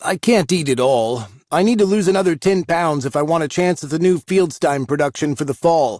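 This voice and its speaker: A man puts on a character voice with a fairly high pitch. He speaks at a fairly quick pace with lively intonation. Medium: read story.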